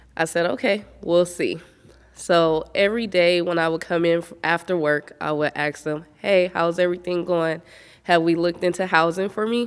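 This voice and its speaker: Fairly low in pitch, a woman talks in an ordinary speaking voice. Her pace is moderate. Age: 30s. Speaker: honoree sharing her story. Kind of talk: testimony. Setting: virtual event recording.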